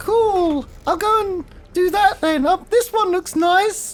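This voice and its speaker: A squeaky, put-on character voice is heard. Music plays in the background. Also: fairly slow pace. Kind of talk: comic mock-courtly speech. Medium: actual play. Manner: eager, chatty, slightly flustered.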